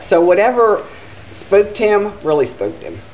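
A woman talks at a moderate pace. Music plays faintly behind her. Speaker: theater staff storyteller. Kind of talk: interview answer. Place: hall. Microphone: handheld.

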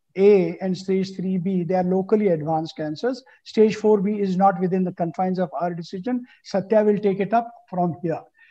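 Against a quiet background, a man with a high voice talks at a moderate pace in a dark, mellow tone. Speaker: panel moderator. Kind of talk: panel discussion, case presentation. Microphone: video call.

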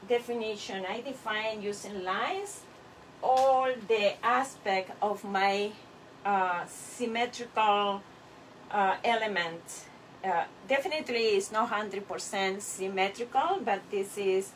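A woman speaks at a very slow pace with ordinary pitch variation. Light background noise sits behind her. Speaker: clay artist teacher. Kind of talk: tutorial. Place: workshop. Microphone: camera far.

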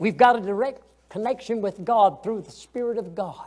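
A man with a Southern US accent, high-pitched, ordinary pitch variation, moderate pace. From US South. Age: 80s. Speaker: Sunday school teacher. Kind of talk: Sunday school Bible lesson. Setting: church. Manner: folksy, conversational; halting, repeats words. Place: church.

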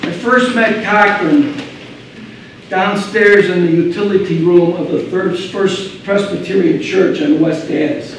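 A man talks at a fairly slow pace with lively intonation. Strong room echo and light background noise surround him. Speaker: slam poet. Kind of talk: live slam poetry performance. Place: stage.

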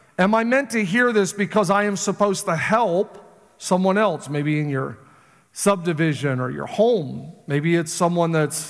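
A fairly slow pace against a quiet background. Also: man. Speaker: pastor. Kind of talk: sermon. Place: church. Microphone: headset.

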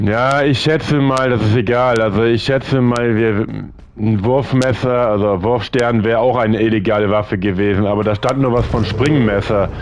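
A man's medium-pitched voice at a moderate pace, with fairly even intonation and very even loudness, against noticeable background noise. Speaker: gaming video creator. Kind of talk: let's play commentary. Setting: home recording.

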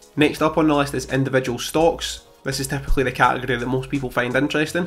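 Faint music plays behind a man talking at a very fast pace. His intonation is monotone and flat. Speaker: finance youtuber. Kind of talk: portfolio update vlog. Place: home room. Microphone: studio mic.

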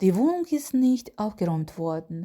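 A woman speaks at a moderate pace with a medium pitch, her somewhat breathy voice carrying a dark, mellow tone and very wide pitch swings. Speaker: German language teacher. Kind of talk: tutorial.

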